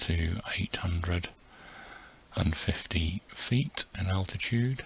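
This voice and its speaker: Soft-spoken and gentle in tone, a man talks with a very deep, low pitch and ordinary pitch variation against noticeable background noise. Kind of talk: soft-spoken ASMR flight narration. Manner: soft-spoken, gentle, relaxing.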